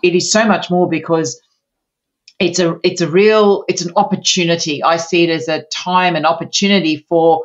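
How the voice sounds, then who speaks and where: With an Australian accent, a woman talks at a moderate pace, her fairly low pitch held in fairly even intonation. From Australia, Sydney. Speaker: naturopath and menopause coach. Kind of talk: interview.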